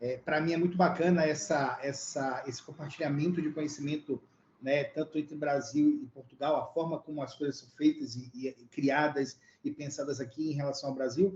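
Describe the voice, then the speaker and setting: This man's voice sits fairly high, sounds somewhat breathy, and moves at a moderate pace with fairly even intonation. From Brazil. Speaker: tech lead, data expert. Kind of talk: panel introduction.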